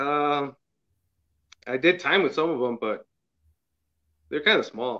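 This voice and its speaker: A man's fairly high, bright and sharp voice in an American accent, with ordinary pitch variation, a fairly slow pace and long, frequent pauses. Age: 40s. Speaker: viewer call-in. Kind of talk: casual chat. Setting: video call. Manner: halting.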